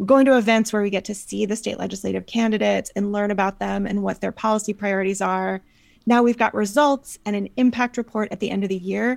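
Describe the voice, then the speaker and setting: A woman with an American accent at a very fast pace, with fairly even intonation, in a very clean recording with a silent background. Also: medium pitch for a woman. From US South, North Carolina. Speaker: political nonprofit organizer. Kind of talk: interview.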